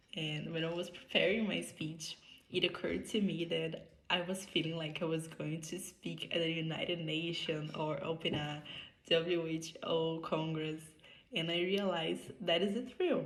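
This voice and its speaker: A woman's fairly low voice with vocal fry and fairly even intonation, in audible room echo. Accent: Brazilian Portuguese. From Brazil. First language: Portuguese. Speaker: medical student. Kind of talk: prepared conference speech. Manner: halting non-native phrasing.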